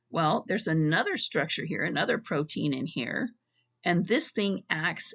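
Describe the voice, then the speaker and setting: Vocal fry runs through this woman's fairly low-pitched voice. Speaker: psychology professor. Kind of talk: recorded lecture narration.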